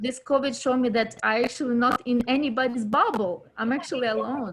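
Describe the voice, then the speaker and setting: A woman with a non-native accent speaks at a fairly quick pace. Her voice is high-pitched, with ordinary pitch variation. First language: not English. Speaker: actor in local film network. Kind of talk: casual chat. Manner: halting.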